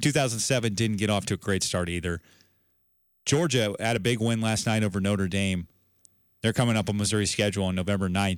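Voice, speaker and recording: A man speaks at a fairly quick pace and fairly low pitch, in an unremarkable speaking voice. The recording is very clean, with a silent background. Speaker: sports radio host. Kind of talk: sports podcast show recap and commentary. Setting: studio.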